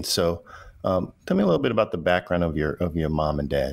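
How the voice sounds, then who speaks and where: Man speaking at a fairly quick pace. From US Northeast, Brooklyn, New York. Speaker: podcast host. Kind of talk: interview.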